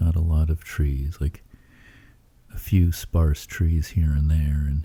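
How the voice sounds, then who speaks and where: A man speaks very slowly in a very deep, low pitch, his tone dark and mellow and somewhat breathy. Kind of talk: sleep story. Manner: monotone; soft-spoken, slow.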